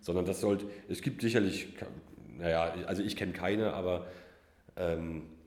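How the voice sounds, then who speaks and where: Very deep and low, a man's voice moves at a fairly slow pace with audible room echo. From Mecklenburg-Vorpommern, northeastern Germany. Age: 30s. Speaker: criminal defence lawyer. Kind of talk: interview.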